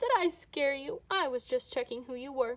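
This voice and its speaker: A woman's put-on character voice, high in pitch, at a moderate pace. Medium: read story. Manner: chatty, fussy.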